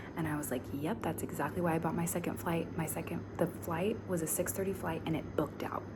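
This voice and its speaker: A quiet, fairly low female voice with an American accent, very fast and with hardly any pauses, amid noticeable background noise and audible room echo. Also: ordinary pitch variation. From US Midwest. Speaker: travel vlogger. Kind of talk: casual storytelling vlog. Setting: travel location in Indonesia. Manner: quiet, hushed; animated.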